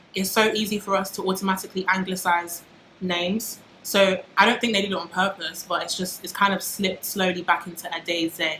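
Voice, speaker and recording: Noticeable background noise fills the clip. The talking goes at a fairly quick pace. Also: woman, medium pitch for a woman. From UK. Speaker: YouTuber. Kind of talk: casual vlog monologue. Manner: animated.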